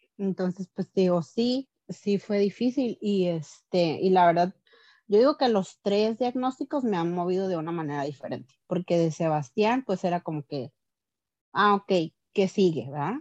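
Against a quiet background, a woman speaks at a fairly slow pace and medium pitch with lively intonation in a dry, close sound with no echo. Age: 30s. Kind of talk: testimony. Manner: hesitant, many fillers.

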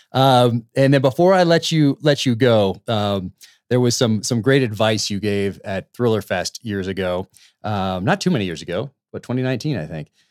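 With an ordinary speaking voice, a man with an American accent talks at medium pitch with lively intonation, in a very clean recording with a silent background and a dry, close sound with no echo. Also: moderate pace.

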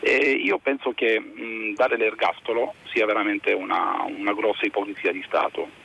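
A man at a moderate pace, with hardly any pauses. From Varese province, Lombardy. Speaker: caller. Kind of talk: call-in opinion. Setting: phone call.

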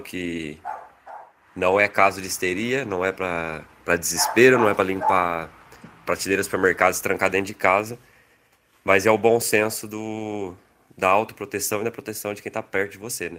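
A man's bright, sharp tone at fairly low pitch, moderate pace, fairly even intonation and big swings in loudness. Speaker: podcast host. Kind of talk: casual chat. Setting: video call.

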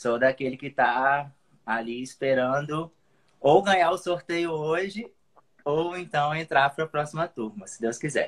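At a fairly slow pace, a man speaks in a fairly high pitch with ordinary pitch variation and big swings in loudness. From Espírito Santo, Brazil. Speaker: digital marketer, former PE professional. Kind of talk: casual chat. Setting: live call on stream. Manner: halting.

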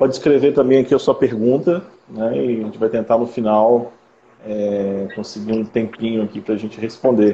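At a moderate pace, this man uses an unremarkable speaking voice. His medium pitch shows ordinary variation. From interior of Rio de Janeiro state, Brazil. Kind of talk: live-stream interview.

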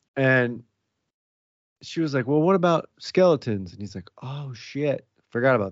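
A man at medium pitch speaks at a moderate pace with lively intonation. His loudness swings widely, and he leaves long, frequent pauses. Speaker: podcast host. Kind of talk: casual banter. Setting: home recording. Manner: joking, profane.

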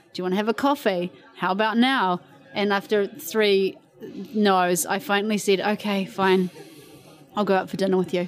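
A woman has an ordinary speaking voice with ordinary pitch variation. She keeps a moderate pace and very even loudness. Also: medium pitch for a woman. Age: 40s. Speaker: interviewee. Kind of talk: casual chat. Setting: outdoors.

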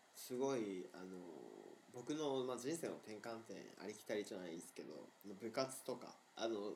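At a moderate pace and a medium pitch, a man speaks with ordinary pitch variation and long, frequent pauses. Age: 20s. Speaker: podcast co-host. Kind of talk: casual chat. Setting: remote recording.

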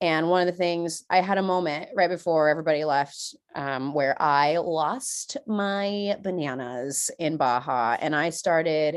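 Over a quiet background, a woman with an American accent talks at a moderate pace in a fairly low pitch with ordinary pitch variation. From California, San Diego. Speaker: cosmetologist and business owner. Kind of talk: casual interview chat.

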